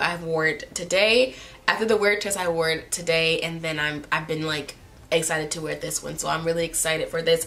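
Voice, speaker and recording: A woman's fairly low voice at a fairly quick pace, with noticeable background noise. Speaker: beauty vlogger. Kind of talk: product review. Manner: fast.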